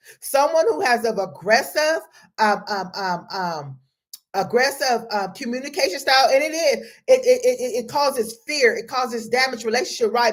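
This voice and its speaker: With an animated tone, a woman talks at a moderate pace in a high pitch. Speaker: life coach. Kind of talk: motivational talk. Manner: loud.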